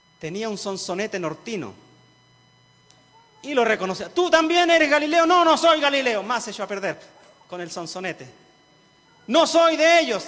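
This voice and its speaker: A man with an extremely high pitch and very wide pitch swings, big swings in loudness, a moderate pace and long, frequent pauses, over noticeable background noise. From rural central-southern Chile (Cauquenes area). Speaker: pastor. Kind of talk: sermon.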